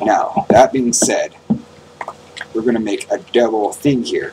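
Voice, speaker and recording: At a moderate pace, a man speaks against noticeable background noise. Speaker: gaming youtuber. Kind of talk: tutorial. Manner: animated.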